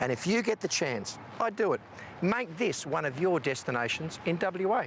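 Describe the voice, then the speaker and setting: A man talks at a high pitch with very wide pitch swings while his loudness stays very even. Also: moderate pace. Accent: Australian. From Western Australia. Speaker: TV travel show presenter. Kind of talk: TV travel segment presenting and interview. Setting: museum gallery.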